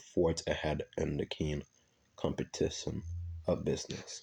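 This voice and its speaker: In a quiet background, a man with a very deep, low pitch and a dark, mellow tone speaks at a fairly slow pace, his voice somewhat breathy. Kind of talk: nonfiction book reading.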